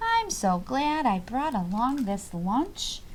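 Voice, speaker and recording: The speaker uses a put-on character voice at a fairly slow pace. Background noise is clearly present. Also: woman, high pitch for a woman. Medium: read story. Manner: cheerful, matter-of-fact.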